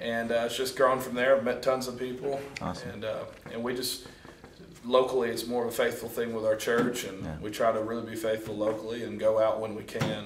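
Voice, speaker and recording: Speaking fairly quickly in a Southern US accent, a man keeps a monotone, flat intonation at medium pitch. Noticeable background noise sits behind him. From Mississippi. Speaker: street preacher. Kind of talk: interview answer.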